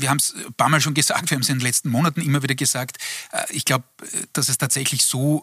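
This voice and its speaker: A man speaks very fast at a medium pitch in a bright, sharp tone. The sound is dry and close, with no echo. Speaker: political analyst. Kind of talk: TV panel discussion.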